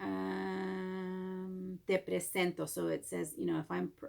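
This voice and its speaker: A woman speaks with a Spanish accent. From Mexico. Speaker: Spanish teacher. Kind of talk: recorded lesson for students. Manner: casual, with hesitations.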